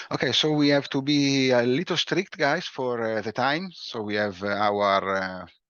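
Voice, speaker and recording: At a moderate pace, a man with an Italian accent talks at medium pitch with lively intonation. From Italy. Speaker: breakout room moderator. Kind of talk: meeting moderation.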